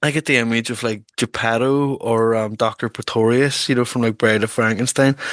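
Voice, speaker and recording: A man with a Northern Irish accent, medium pitch, fairly quick pace and hardly any pauses, monotone, flat intonation, dry, close sound with no echo, quiet background. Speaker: podcast host. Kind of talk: casual chat. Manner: fast.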